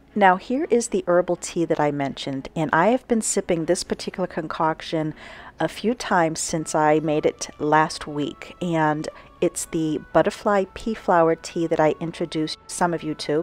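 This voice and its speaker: A woman has an ordinary speaking voice, fairly low in pitch with ordinary pitch variation. She goes at a moderate pace, and the sound is dry and close with no echo. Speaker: home and garden vlogger. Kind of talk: casual voice-over narration.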